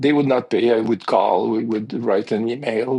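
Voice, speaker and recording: Speaking with a French accent, a man at medium pitch keeps a moderate pace and ordinary pitch variation. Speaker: piano technician, business owner. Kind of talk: podcast interview.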